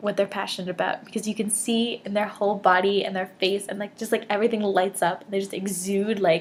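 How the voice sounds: The speaker reads in a natural reading voice whose intonation stays fairly even.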